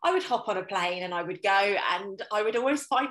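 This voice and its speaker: Speaking with a British accent, a woman uses lively intonation at a medium pitch and a moderate pace. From UK. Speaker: intuitive coach. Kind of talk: casual interview chat. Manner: animated.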